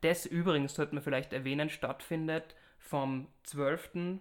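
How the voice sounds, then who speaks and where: In a very clean recording with a silent background, a man with a fairly high pitch speaks at a very slow pace with fairly even intonation. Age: 30s. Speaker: podcast host. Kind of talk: interview. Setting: studio, face to face.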